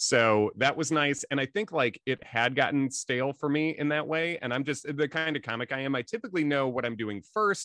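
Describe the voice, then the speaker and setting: A man with an American accent, medium pitch and ordinary pitch variation, bright, sharp tone, fairly quick pace with hardly any pauses, dry sound with no echo, and a quiet background. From Chicago. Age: 30s. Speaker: comedian. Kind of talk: casual chat. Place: home room. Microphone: studio mic.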